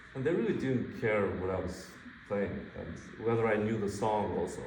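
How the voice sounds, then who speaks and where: In a room with audible echo, a man speaks at a fairly low pitch with ordinary pitch variation. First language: not English. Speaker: guitar masterclass teacher. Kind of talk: masterclass coaching. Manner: loud.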